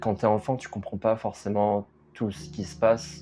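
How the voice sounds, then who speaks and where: Music plays in the background as a man with a fairly low pitch speaks at a very slow pace. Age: 20s. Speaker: documentary subject. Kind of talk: interview testimony. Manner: halting.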